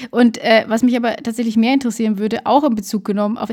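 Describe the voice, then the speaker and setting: Talking at a very fast pace, a woman has a fairly high, somewhat breathy voice with a dark, mellow tone. Her intonation stays fairly even. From Lower Bavaria. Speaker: podcast co-host. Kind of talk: casual chat.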